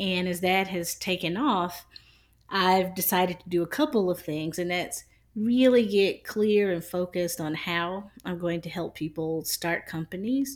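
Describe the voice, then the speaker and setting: With an American accent, a woman talks at medium pitch with ordinary pitch variation in a normal speaking voice. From South Carolina. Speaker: podcast co-host. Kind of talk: casual chat.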